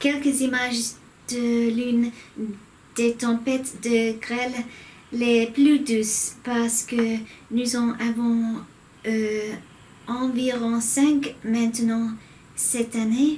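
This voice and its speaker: A high-pitched woman with an English accent, a very slow pace, long, frequent pauses, monotone, flat intonation and noticeable background noise. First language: English (speaking French). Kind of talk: casual vlog talk. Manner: halting, self-correcting.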